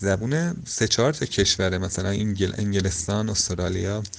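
A man at fairly low pitch with ordinary pitch variation and a moderate pace. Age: 20s. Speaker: traveller and hitchhiker. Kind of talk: interview. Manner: halting.

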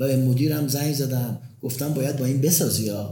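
Somewhat breathy and dark, mellow in tone, a man at medium pitch speaks at a fairly quick pace with audible room echo. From Tehran, Iran. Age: 60s. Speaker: pharmaceutical company founder and university professor. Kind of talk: interview. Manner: energetic.

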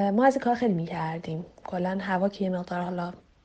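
The woman's pace is moderate. Her pitch rises and falls in a normal way. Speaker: interviewee sharing a personal story. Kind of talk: casual storytelling.

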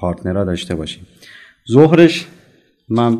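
His pitch rises and falls across a very wide range. The man speaks very fast. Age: 40s. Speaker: venture fund director. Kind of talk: interview. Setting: side of an event.

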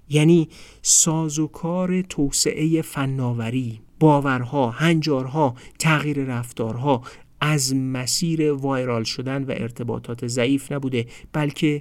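A man with a plain, everyday voice speaks at a fairly slow pace in a medium pitch with ordinary pitch variation, on a very clean recording with a silent background. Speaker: podcast host explaining a book. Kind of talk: scripted narration.

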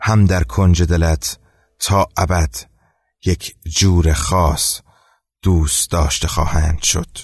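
Over a quiet background, a man with a very deep, low pitch and a somewhat breathy voice talks at a very slow pace, with long, frequent pauses, very even loudness and ordinary pitch variation. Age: 20s. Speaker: storytelling podcaster. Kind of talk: storytelling narration.

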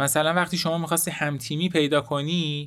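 On a very clean recording with a silent background, a man with a normal speaking voice talks at a moderate pace and a fairly high pitch. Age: 20s. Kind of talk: solo podcast monologue.

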